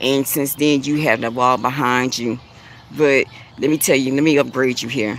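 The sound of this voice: Speaking at a moderate pace, a woman uses an extremely low pitch and fairly even intonation.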